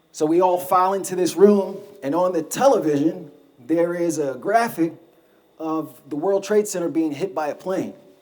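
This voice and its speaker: With an American accent, a man speaks at a high pitch with ordinary pitch variation over noticeable background noise. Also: moderate pace. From Brooklyn, New York. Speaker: war veteran and mountaineer. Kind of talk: talk to a live audience.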